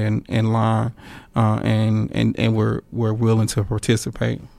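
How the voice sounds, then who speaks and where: In a Southern US accent, a man is talking. Everything is very clean, the background silent. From North Louisiana, Monroe. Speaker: painter and art professor. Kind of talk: interview. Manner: halting.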